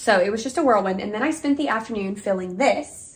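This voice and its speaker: A woman talks at a moderate pace with lively intonation and a somewhat breathy quality. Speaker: elementary school teacher. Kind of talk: casual vlog talk to camera. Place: home room. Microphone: camera far.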